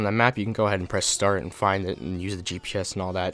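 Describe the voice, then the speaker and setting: At a fairly quick pace, a man is talking. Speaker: gaming youtuber. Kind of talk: tutorial. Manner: fast.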